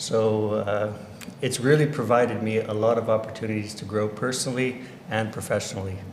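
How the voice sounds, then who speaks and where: A man with a Californian accent talks at a medium pitch and moderate pace, with audible room echo and noticeable background noise. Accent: Californian American. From US, Orange County, California. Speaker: education director. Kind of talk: interview. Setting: livestream.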